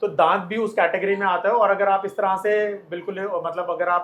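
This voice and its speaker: The speaker talks at a moderate pace. The intonation is monotone and flat. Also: man. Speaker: dentist. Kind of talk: explanation to camera.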